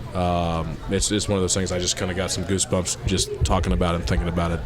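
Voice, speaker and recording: A man with a very deep, low pitch and ordinary pitch variation is heard against noticeable background noise. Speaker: podcast panel guest. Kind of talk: casual chat.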